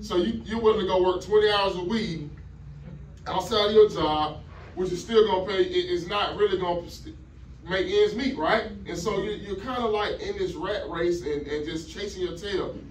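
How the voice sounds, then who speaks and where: In a slight Georgia accent, the speaker talks at a moderate pace in an animated tone with ordinary pitch variation, amid audible room echo and noticeable background noise. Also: man, high pitch for a man. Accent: slight Southern US (Georgia). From Atlanta, Georgia. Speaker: business opportunity speaker. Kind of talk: motivational sales presentation. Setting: live audience, also streamed on Zoom. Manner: call-and-response with audience.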